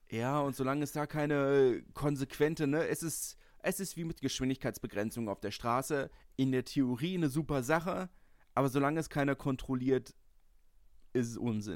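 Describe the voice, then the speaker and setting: A man has an ordinary speaking voice, fairly high in pitch with ordinary pitch variation. He talks at a moderate pace on a very clean recording with a silent background. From Berlin (Lichterfelde). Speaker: podcast host, rugby fan. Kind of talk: casual chat.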